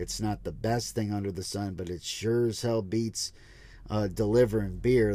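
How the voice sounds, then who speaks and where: A man speaks with a dark, mellow, relaxed tone. His pace is fairly slow and his pitch variation ordinary. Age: 30s. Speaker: truck driver and podcaster. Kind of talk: casual monologue. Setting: in a truck. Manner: relaxed, casual.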